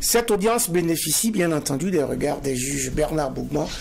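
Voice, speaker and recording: A man at a moderate pace, lively intonation, and noticeable background noise. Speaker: TV show host. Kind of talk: moderated TV debate. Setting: studio. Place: studio. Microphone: lapel.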